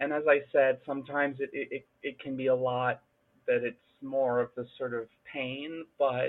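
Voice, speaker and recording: A woman speaks at a moderate pace in a very deep, low voice. Her intonation stays flat and monotone. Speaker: gamer panelist. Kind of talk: casual panel chat.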